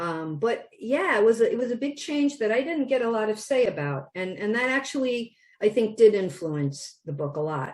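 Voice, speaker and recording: The speaker has a strong Wisconsin accent. Their pitch swings very widely. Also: woman, fairly high pitch for a woman, moderate pace, hardly any pauses. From Wisconsin, US Midwest. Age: 60s. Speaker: children's book author. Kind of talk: interview. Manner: many fillers and restarts.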